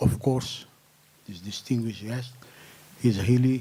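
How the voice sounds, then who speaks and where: Someone speaks with a non-native accent and fairly even intonation. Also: man. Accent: non-native accent, self-noted. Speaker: press club board member introducing speaker. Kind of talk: press conference introduction. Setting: press club conference room, web streamed. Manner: hesitant, with fillers.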